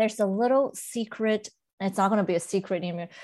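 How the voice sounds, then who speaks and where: A woman speaks against a quiet background. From Southern California (Monterey Park), born in Beijing. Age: 40s. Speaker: college trustee and nonprofit executive. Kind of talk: interview conversation. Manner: hesitant with many fillers.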